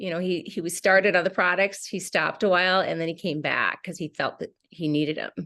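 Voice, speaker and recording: Against a quiet background, a woman talks at a fairly quick pace and medium pitch in a normal speaking voice. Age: 60s. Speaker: wellness product seller, former teacher. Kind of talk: online group call presentation. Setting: video call.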